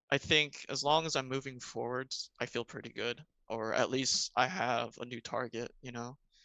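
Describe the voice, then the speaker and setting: With an American accent, a man speaks in an unremarkable speaking voice at a medium pitch and with fairly even intonation. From US Mid-Atlantic, Maryland (Montgomery County). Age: 20s. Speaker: podcast guest. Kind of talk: casual chat.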